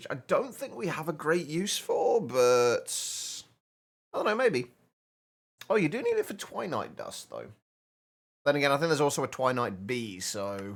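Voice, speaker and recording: A man with a British accent, a fairly high pitch and very wide pitch swings, at a moderate pace with long, frequent pauses. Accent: stereotypical British. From Britain. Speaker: gaming streamer. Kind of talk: live game stream chat. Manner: halting, repeats words.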